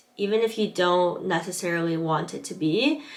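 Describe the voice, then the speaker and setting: An American accent with ordinary pitch variation, over noticeable background noise. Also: woman. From Southern California. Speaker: English teaching assistant, vlogger. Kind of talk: vlog advice talk, partly read from notes.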